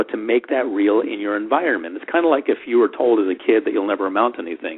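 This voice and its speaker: A man speaks at medium pitch. His pace is very fast. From US, Washington DC, Florida and California. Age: 40s. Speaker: hypnotist, self-help expert. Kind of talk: interview. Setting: radio program.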